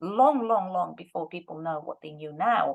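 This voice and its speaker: Her pitch swings very widely as a woman speaks at a moderate pace. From Russia. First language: Russian. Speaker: language teacher and researcher. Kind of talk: lecture.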